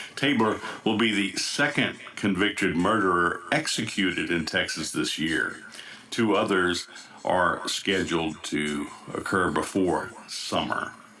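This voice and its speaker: At a fairly slow pace, a man with a fairly low pitch and an American accent speaks with very even loudness and ordinary pitch variation, with noticeable background noise. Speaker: news anchor. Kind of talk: news broadcast.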